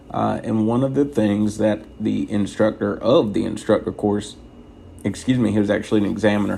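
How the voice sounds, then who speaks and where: A soft-spoken man's fairly low, dark and mellow voice at a moderate pace. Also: fairly even intonation. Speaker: truck driver trainer. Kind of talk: tutorial. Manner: soft-spoken, quiet inside voice.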